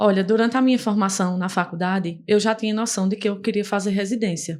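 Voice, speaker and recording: Here a woman speaks very fast. Her pitch varies in an ordinary way. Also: quiet background. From Brazil, Paraíba (Campina Grande). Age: 20s. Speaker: dermatology resident doctor. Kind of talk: podcast interview.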